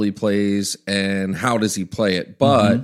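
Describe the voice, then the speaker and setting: A man with a Maryland accent talks at a moderate pace in a fairly low pitch, his intonation fairly even. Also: very clean recording, silent background. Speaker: pastor. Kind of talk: casual talk about faith, podcast discussion.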